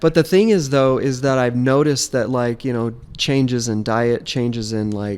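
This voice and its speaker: Speaking with an American accent, a man has a plain, everyday voice. His pitch is medium and his intonation fairly even at a moderate pace. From Las Vegas, US West. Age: 50s. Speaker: podcast guest sharing life story. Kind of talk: casual interview chat.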